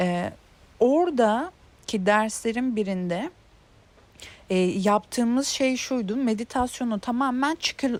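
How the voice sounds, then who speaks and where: A woman speaks at a very slow pace. Her fairly high voice has lively intonation. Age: 30s. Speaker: self-help video creator. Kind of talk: casual monologue on intuition. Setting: outdoors in a garden. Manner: hesitant, many filler sounds.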